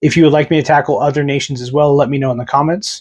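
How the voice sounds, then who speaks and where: Recorded very cleanly with a silent background, a man in a plain, everyday voice speaks at a fairly high pitch with fairly even intonation. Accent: American. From United States. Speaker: wargaming YouTuber. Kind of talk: casual explainer to camera. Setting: home room with models on shelf, on camera.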